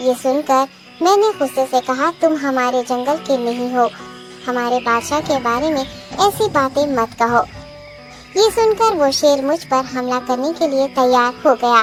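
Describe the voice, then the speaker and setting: A female-sounding cartoonish character voice plays over clear music in the background. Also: moderate pace. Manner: deferential, respectful.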